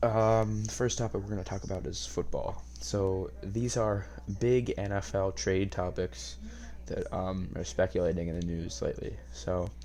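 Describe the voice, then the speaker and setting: Quiet and somewhat breathy, a man with an American accent speaks at a moderate pace in a very deep, low pitch and dark, mellow tone, his pitch swinging very widely amid audible room echo. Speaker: podcast host. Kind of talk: casual monologue podcast. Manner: quiet, hushed; hesitant, many fillers.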